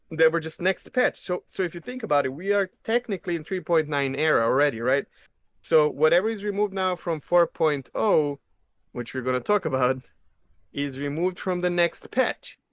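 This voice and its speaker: Here a man with a non-native accent speaks in a high pitch. The sound is dry and close with no echo, and the background is quiet. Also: lively intonation, moderate pace. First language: not English. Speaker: gaming podcast co-host. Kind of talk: casual chat.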